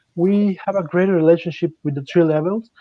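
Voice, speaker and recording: A man with a Mexican accent speaks with fairly even intonation. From Mexico. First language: Spanish. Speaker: mining company executive. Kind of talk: panel discussion.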